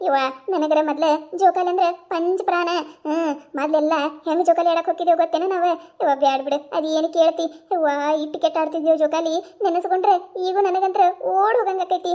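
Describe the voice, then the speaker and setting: A woman does a cartoonish character voice, pitched extremely high. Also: moderate pace. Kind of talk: rural cartoon comedy. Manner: chatty, animated.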